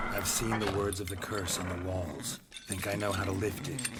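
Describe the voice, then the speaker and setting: Over loud background noise, a man uses a put-on character voice, pitched fairly low and delivered at a moderate pace. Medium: machinima. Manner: calm, reassuring.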